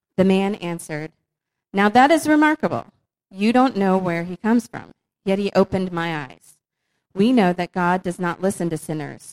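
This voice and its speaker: A woman speaks in a normal speaking voice at medium pitch and a moderate pace, with lively intonation and a dry, close sound with no echo. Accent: American. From northern Virginia. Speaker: church member. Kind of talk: casual chat.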